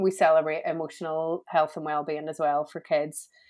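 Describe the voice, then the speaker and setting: A woman with a Belfast accent talks at a moderate pace with fairly low pitch. The recording is very clean, with a silent background. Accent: Belfast Northern Irish. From Northern Ireland, Belfast. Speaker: entrepreneur and coach. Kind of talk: casual interview.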